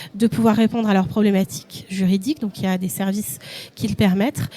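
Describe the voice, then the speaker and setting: Fairly even intonation at a moderate pace in a normal speaking voice. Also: woman. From Paris region, France. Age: 40s. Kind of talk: live event interview.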